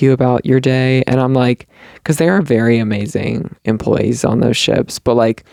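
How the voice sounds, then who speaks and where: A man with a Southern US accent speaks at a moderate pace and medium pitch. His tone is dark and mellow, and the sound is dry and close with no echo. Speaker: podcast host. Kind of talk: casual chat. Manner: halting, many fillers.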